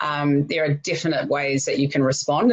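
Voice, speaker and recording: A woman with a New Zealand accent speaks fairly quickly in a very deep, low pitch. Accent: New Zealand accent, Australian twang dropped. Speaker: podcast host. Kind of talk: interview conversation.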